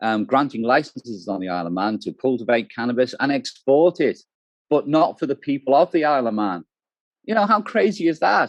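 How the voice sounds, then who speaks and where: A man with a British accent at a fairly quick pace, very wide pitch swings, dry and close with no echo. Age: 60s. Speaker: cannabis activist. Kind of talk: interview. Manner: hesitant.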